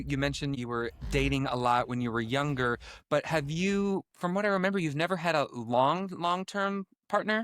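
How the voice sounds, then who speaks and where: Recorded very cleanly against a silent background, a man with an ordinary speaking voice talks at a moderate pace and a fairly high pitch. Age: 40s. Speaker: podcast host. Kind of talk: podcast interview.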